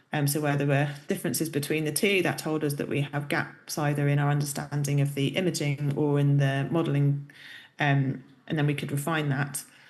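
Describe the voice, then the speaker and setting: Very deep and low for a woman, her voice moves at a fairly quick pace with monotone, flat intonation. Audible room echo surrounds it. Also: very even loudness. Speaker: professor. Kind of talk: lecture.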